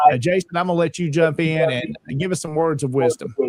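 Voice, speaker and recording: The man talks at a moderate pace, his voice recorded dry and close with no echo. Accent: Southern US. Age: 40s. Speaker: online show host. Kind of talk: casual panel talk show.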